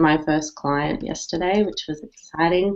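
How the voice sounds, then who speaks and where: A woman with an Australian accent speaks at a fairly low pitch. The background is quiet. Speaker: digital marketing strategist. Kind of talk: casual panel chat. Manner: animated.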